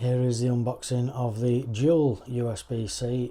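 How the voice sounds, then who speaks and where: Speaking with a British accent, a man has a medium pitch and a dark, mellow tone. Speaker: tech reviewer. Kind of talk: product review tutorial. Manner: flat.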